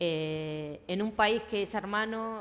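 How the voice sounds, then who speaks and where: A woman speaks with ordinary pitch variation. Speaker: event moderator. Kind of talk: panel moderation. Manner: hesitant, many fillers.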